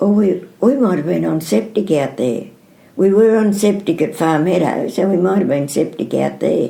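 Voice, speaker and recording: A woman with an Australian accent speaks at a moderate pace in a fairly low pitch, her tone dark and mellow. Her pitch swings very widely, and there is vocal fry. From New South Wales South Coast, Australia. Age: 80s+. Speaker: dairy farmer. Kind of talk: oral history interview answer.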